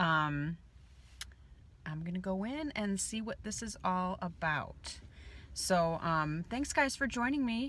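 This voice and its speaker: Very slow and broken by long, frequent pauses, a woman's medium-pitched voice makes very wide pitch swings. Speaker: vlogger. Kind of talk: vlog. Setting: in a car. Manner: quiet.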